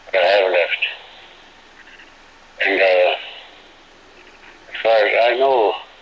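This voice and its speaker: A man speaks at a very slow pace with fairly low pitch, ordinary pitch variation and very even loudness, leaving long, frequent pauses. Noticeable background noise and audible room echo are in the recording. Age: 70s. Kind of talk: court testimony.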